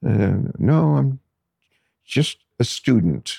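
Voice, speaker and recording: A dark, mellow tone with vocal fry and very wide pitch swings, in a Californian accent, with a dry, close sound and no echo. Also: man. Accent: Californian American. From Los Angeles, San Fernando Valley. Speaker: poet and lyricist. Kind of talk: interview conversation. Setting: studio.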